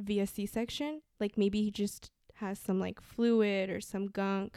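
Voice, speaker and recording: Speaking with a Spanish accent, a woman uses a dark, mellow tone at medium pitch, a fairly slow pace and fairly even intonation, in a dry, close sound with no echo. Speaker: mother of child with hearing loss. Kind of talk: casual interview chat.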